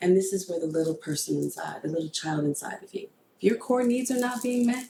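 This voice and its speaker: At a fairly quick pace, a woman with a plain, everyday voice speaks with lively intonation. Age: 50s. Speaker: podcast host. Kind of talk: casual chat.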